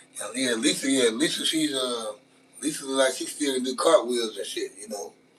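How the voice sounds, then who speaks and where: With a Louisiana accent, a man talks at a moderate pace over noticeable background noise. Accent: Southern US, Louisiana. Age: 40s. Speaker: live streamer. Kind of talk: casual live stream chat while cooking. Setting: outdoors grilling, live stream. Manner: casual, slangy, repetitive.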